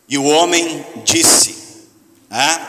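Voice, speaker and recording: A man with fairly even intonation and audible room echo. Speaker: pastor. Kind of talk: sermon. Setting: church hall with audience, microphone.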